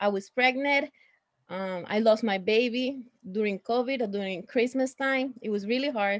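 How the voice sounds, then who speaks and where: Speaking at a fairly slow pace, a woman uses a fairly high pitch with ordinary pitch variation. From Puerto Rico. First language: Spanish. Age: 30s. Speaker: social work student. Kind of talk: panel introduction.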